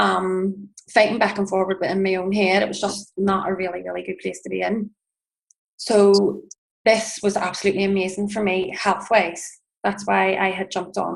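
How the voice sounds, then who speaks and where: A woman with an Irish accent speaks at a moderate pace. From Northern Ireland, Belfast. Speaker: network marketing distributor. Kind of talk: personal testimony.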